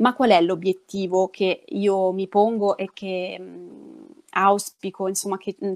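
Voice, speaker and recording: Against a quiet background, a woman speaks very slowly at a medium pitch with monotone, flat intonation. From Calabria, southern Italy. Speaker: public speaking trainer. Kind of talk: interview. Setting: online live stream. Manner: halting, many fillers. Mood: warm, engaged, smiling. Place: home room.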